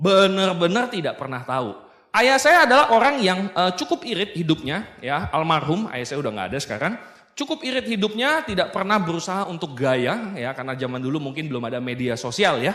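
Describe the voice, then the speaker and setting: Speaking at a fairly quick pace, a man with a high-pitched voice makes very wide pitch swings. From Indonesia, South Sumatra (Baturaja). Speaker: business motivational speaker. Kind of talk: seminar talk. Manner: casual, joking.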